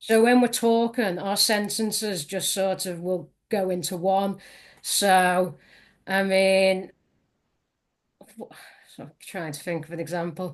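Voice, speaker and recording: Speaking at a very slow pace with a Liverpool accent, the voice leaves long, frequent pauses. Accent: Liverpool Scouse. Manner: clipped, word endings dropped.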